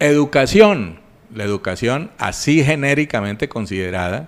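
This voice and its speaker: Very wide pitch swings run through a man's moderate-paced speech. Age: 60s. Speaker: regional public finance expert. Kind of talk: radio interview. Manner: formal.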